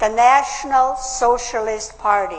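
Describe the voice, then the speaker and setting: Someone with a German accent speaks at a very slow pace against noticeable background noise. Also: woman. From Austria. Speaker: political speaker, WWII survivor. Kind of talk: public speech.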